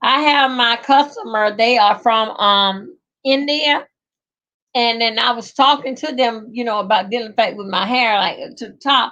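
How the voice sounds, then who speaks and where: A woman with a fairly high voice and a strong Southern US accent speaks at a fairly slow pace with lively intonation. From rural Georgia, US South. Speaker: livestreamer. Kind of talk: casual live chat. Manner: chatty, rambling with hesitations.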